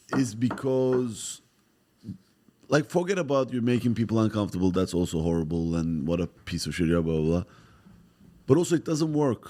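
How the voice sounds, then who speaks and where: A man with a Turkish accent speaks at a fairly low pitch in a dark, mellow tone, at a moderate pace, with very wide pitch swings and long, frequent pauses. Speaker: comedian. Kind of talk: casual chat.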